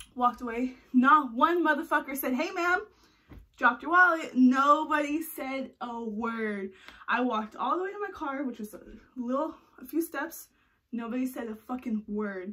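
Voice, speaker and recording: A woman projects a raised, high-pitched voice with a bright, sharp tone. She keeps a moderate pace, with lively intonation and big swings in loudness. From California. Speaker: vlogger. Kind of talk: casual vlog monologue. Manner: animated. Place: home room. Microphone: phone near.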